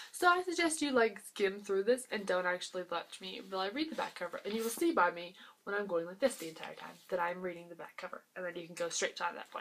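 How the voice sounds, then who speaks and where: At a fairly quick pace, a woman speaks at a medium pitch with lively intonation. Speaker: booktuber. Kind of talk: casual vlog book review. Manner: fast; animated.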